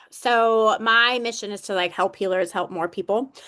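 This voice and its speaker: In a quiet setting, a woman talks with ordinary pitch variation. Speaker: small business owner and coaching client. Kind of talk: casual chat. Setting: video call. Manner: halting.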